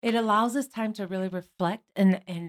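With an American accent and an unremarkable speaking voice, a woman speaks at a medium pitch with ordinary pitch variation, in a very clean recording with a silent background and a dry, close sound with no echo. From Michigan. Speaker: podcast co-host, former educator. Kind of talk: casual chat.

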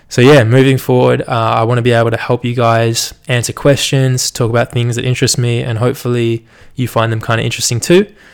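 With an Australian accent, a man talks at a very fast pace with hardly any pauses, using fairly even intonation at a medium pitch. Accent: general Australian. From Australia, Melbourne. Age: 20s. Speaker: podcaster and university student. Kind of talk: solo podcast monologue, casual. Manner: nervous at first, casual, fillers.

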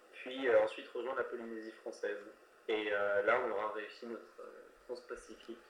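A man at a moderate pace with audible room echo. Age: 20s. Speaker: sailor planning round-the-world voyage. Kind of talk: interview. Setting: remote interview. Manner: hesitant, many fillers.

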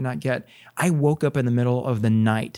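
In an ordinary speaking voice with an American accent, a man at medium pitch talks at a fairly quick pace, his sound dry and close with no echo on a very clean recording with a silent background. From Texas, Corpus Christi. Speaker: plastic surgeon. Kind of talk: casual interview.

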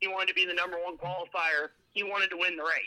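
Speaking very fast, a man with a Southern US accent has a high pitch. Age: 30s. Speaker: motorsport crew chief. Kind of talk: interview.

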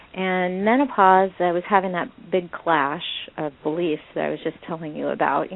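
Using an unremarkable speaking voice, a woman talks at a moderate pace and fairly low pitch with ordinary pitch variation. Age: 50s. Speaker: sex and menopause researcher, blogger. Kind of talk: radio interview conversation.

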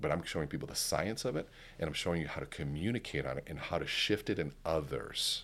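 A man talks at a very fast pace with a very deep, low pitch. His intonation is lively, with vocal fry. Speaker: keynote speaker and sales coach. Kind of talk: casual interview chat.

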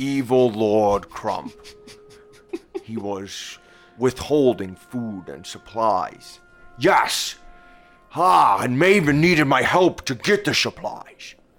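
A put-on character voice speaks at a very slow pace. Faint music plays in the background. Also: man, medium pitch for a man. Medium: actual play. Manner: theatrical, old-fashioned diction.

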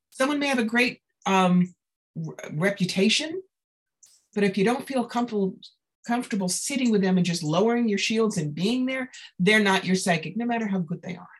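In a New York accent, the speaker goes at a fairly quick pace but with long, frequent pauses. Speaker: psychic. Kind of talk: interview. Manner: blunt, direct.

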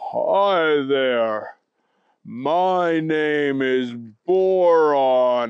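A man does a put-on character voice at a fairly high pitch. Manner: slow, monotone, droning.

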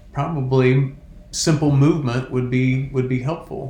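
A man of medium pitch, with audible room echo. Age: 50s. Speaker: wellness coach. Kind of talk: casual chat.

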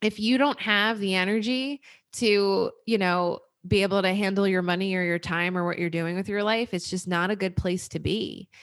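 The recording is very clean with a silent background. A woman speaks at medium pitch in a normal speaking voice, her intonation fairly even. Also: moderate pace. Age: 30s. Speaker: personal finance podcast host. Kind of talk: casual interview conversation.

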